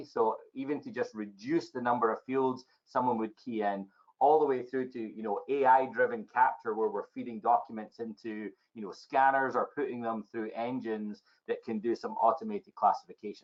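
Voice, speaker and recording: A man with a Scottish accent talks at a moderate pace. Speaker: technology evangelist. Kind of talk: podcast interview answer.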